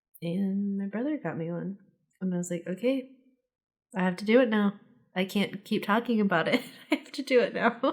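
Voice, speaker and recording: A woman talks at a fairly quick pace with ordinary pitch variation, big swings in loudness, and long, frequent pauses. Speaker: flight attendant. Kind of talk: casual chat.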